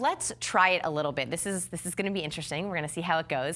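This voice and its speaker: The woman's voice is fairly low in pitch with a bright, sharp tone. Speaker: body language coach. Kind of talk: workshop demonstration. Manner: fast.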